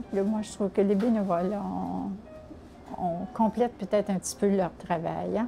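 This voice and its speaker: With music in the background, a woman at a medium pitch talks at a fairly slow pace with fairly even intonation. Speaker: senior volunteer. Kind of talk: testimony. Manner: halting.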